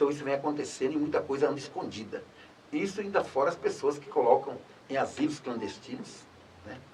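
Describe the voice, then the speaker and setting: Big swings in loudness mark a man talking at a fairly quick pace over noticeable background noise. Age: 60s. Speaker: former public official. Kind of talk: interview.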